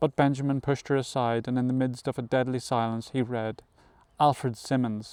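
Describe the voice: Fairly even intonation in plain reading aloud.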